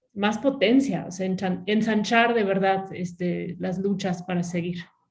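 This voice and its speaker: A woman's somewhat breathy voice at a medium pitch, fairly even in intonation, with audible room echo. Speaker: academic panelist. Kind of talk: webinar panel discussion. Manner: hesitant, many fillers.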